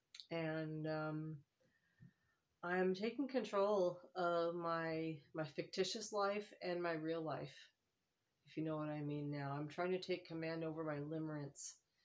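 With ordinary pitch variation, a woman speaks at a fairly slow pace in a fairly low pitch. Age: 50s. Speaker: vlogger. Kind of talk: casual monologue. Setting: living room at home, phone camera. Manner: halting, many fillers.

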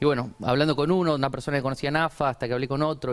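A man's very fast speech with ordinary pitch variation. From Argentina, Chaco. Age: 20s. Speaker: entrepreneur, shoe brand founder; guest. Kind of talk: TV interview. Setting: TV studio. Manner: halting, many repetitions and fillers. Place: studio. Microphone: lapel.

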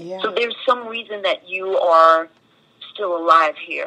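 A woman with a plain, everyday voice speaks at a moderate pace, medium in pitch with ordinary pitch variation. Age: 50s. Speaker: singer and Broadway actress. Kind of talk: interview answer.

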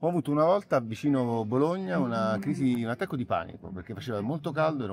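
A man with lively intonation, dry sound with no echo, and light background noise. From Naples, Italy. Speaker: actor. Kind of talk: interview answer. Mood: calm, reflective. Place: garden. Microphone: phone near.

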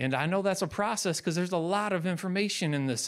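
Over a quiet background, a man is speaking. His pace is fairly quick. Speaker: preacher. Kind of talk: sermon. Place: church. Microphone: handheld.

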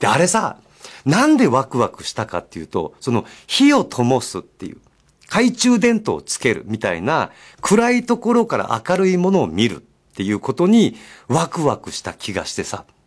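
A man at a moderate pace, with big swings in loudness, over a quiet background. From Japan, Miyazaki; Japan. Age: 50s. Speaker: radio host. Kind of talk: casual radio talk. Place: studio.

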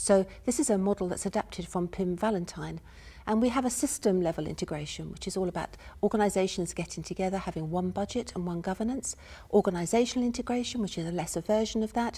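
A somewhat breathy voice with a dark, mellow tone, ordinary pitch variation and a very fast pace. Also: woman, medium pitch for a woman. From UK. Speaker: university professor, health and social care researcher; speaker. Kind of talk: academic lecture / conference presentation. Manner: soft-spoken, measured. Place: stage.

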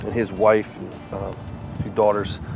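Music plays in the background as a man talks at a fairly quick pace, the sound dry with no echo. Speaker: head football coach. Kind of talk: interview answer. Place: stadium.

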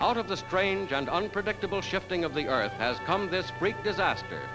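A man's high-pitched, dramatic voice at a fairly quick pace, lively intonation, and clear music in the background. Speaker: newsreel narrator. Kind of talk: 1940s newsreel narration. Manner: dramatic, urgent, authoritative. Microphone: old recording.

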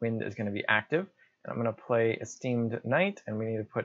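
A man at a moderate pace, dry sound with no echo and a quiet background. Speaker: gamer explaining play. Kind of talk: commentary. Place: home room.

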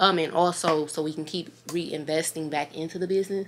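A woman speaks at a moderate pace in an unremarkable speaking voice, fairly low in pitch, with fairly even intonation. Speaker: vlogger. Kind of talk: casual vlog chat. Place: home room. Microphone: phone near.

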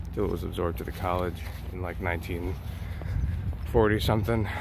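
A man speaks with lively intonation. The sound is dry with no echo, over noticeable background noise. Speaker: student vlogger. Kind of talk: casual vlog chat. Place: street. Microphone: phone near.

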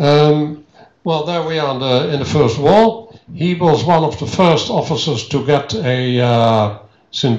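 The speaker uses lively intonation and a Dutch accent at a fairly slow pace. Audible room echo fills the recording. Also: man. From Netherlands. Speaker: historian. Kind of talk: lecture. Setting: stage with audience. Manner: halting. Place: hall. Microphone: handheld.

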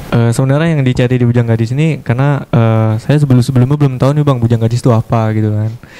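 Over faint music in the background, a man speaks at a very fast pace with very even loudness. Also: fairly even intonation. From Batanghari, Jambi, Indonesia; Jambi, Indonesia. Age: 20s. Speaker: pageant winner, martial artist; guest. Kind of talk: TV talk show interview. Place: studio. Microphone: handheld.

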